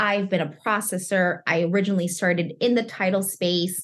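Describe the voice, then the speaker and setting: A woman's animated, somewhat breathy voice. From Chicago. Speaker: mortgage industry professional and content creator. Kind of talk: interview.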